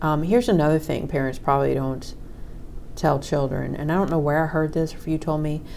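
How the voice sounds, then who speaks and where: A woman with a very deep, low voice talks at a fairly quick pace with ordinary pitch variation in a room with audible echo. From raised in a religious cult. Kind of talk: casual chat.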